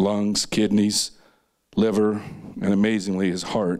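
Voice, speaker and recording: A man at a moderate pace, monotone and flat in intonation, against a quiet background. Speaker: presenter. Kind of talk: personal talk to an audience. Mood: somber, grief-related. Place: stage. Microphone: handheld.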